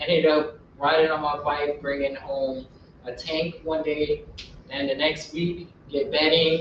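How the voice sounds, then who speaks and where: In a room with audible echo and noticeable background noise, a man with a fairly high pitch speaks at a moderate pace. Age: 20s. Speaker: wildlife educator. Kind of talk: lecture.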